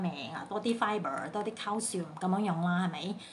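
A woman's somewhat breathy voice comes through over light background noise. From Sandakan, Sabah, Malaysia. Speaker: home baker. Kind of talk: casual Facebook live talk. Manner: chatty, code-switching with English. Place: home room. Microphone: phone near.

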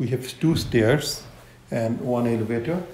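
There is light background noise and audible room echo as a man speaks. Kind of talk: interview answer. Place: home room. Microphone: phone near.

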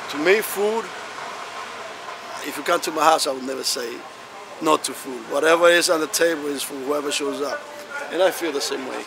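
A man with ordinary pitch variation, dry sound with no echo and noticeable background noise. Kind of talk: interview answer. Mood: warm, matter-of-fact. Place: street.

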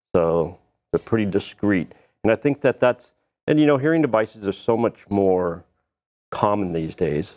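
The man's voice sits fairly low at a moderate pace. The background is quiet. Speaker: guest. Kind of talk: interview answer. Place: studio. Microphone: lapel.

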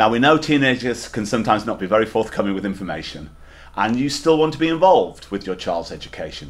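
A man talks at a very fast pace. His fairly low voice has lively intonation. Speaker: school head teacher. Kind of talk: welcome address to parents. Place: office.

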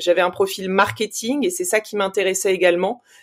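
A woman speaks at a moderate pace with ordinary pitch variation on a very clean recording with a silent background. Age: 40s. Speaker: investment fund operating partner. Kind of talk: interview. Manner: hesitant, many fillers.

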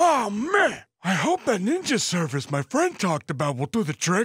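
This man's voice sits high for a male and swings very widely in pitch at a moderate pace. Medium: machinima. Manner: panicky, then cranky.

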